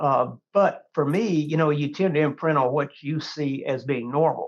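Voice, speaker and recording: A man with a Texan accent, fairly high-pitched, with ordinary pitch variation and a moderate pace. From Texas Hill Country. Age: 60s. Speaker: hunting magazine editor. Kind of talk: podcast interview.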